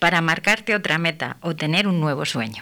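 Here a woman speaks in an unremarkable speaking voice. Her pitch is medium and her pace moderate. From Castile, Spain. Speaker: speech therapist and radio host. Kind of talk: radio talk show. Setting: radio studio.

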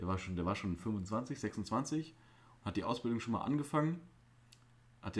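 A man is speaking. His voice is somewhat breathy. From Germany. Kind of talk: casual chat. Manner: animated.

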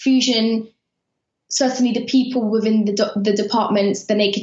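A woman with a British accent has a fairly high pitch, ordinary pitch variation and a somewhat breathy sound. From Afghanistan. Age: 30s. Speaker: journalist. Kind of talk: interview. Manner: halting.

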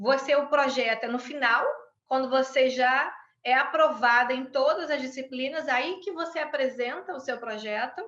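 At a moderate pace, a woman speaks in a high voice with a bright, sharp tone and ordinary pitch variation. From Brazil. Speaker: conflict mediator and law lecturer. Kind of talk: interview.

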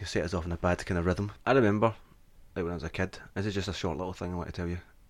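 A man with a Scottish accent and a very deep, low pitch, talking at a very fast pace in a very clean recording with a silent background. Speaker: comedy podcast host. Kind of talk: casual chat.

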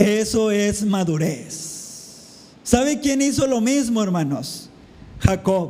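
With audible room echo and noticeable background noise, a man speaks very slowly at a high pitch with lively intonation. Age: 40s. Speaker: pastor. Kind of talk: sermon.

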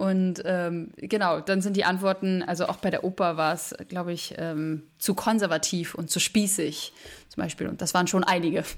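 In a normal speaking voice, a woman of medium pitch talks at a moderate pace with fairly even intonation on a very clean recording with a silent background. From Berlin, Germany. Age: 20s. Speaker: musical theatre performer. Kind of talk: interview.

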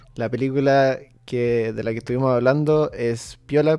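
A man speaks with fairly even intonation and a dark, mellow tone. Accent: Chilean. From Chile. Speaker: podcast host. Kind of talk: casual chat.

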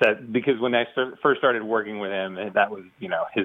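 This is a man with a plain, everyday voice. His pitch is medium, with ordinary pitch variation. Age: 40s. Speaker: caller seeking financial advice. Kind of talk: phone-in question.

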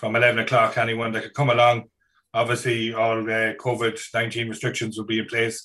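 A man with an Irish accent speaks at a very fast pace. His intonation is monotone and flat. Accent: Irish (Mayo). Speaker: podcast host. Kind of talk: casual chat, interview.

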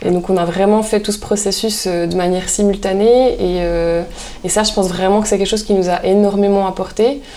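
Over noticeable background noise and audible room echo, a woman talks at a fairly quick pace with fairly even intonation. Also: medium pitch for a woman. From Swiss Jura (Porrentruy). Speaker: artisan soap maker. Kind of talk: casual interview chat.

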